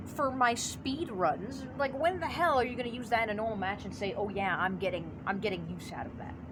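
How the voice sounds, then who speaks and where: A woman talks at a fairly quick pace with lively intonation and hardly any pauses, her pitch fairly high. Audible room echo and noticeable background noise fill the recording. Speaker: gaming YouTuber. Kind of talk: casual commentary video. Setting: outdoors by basement, natural light. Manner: stuttering, halting at times.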